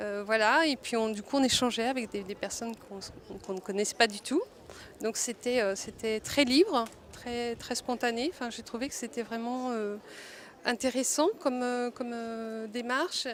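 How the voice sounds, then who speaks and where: Noticeable noise runs in the background. The loudness swings widely while the pitch varies in an ordinary way. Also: woman, fairly high pitch for a woman. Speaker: multimedia designer, workshop participant. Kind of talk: interview testimony. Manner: slow; hesitant, many fillers.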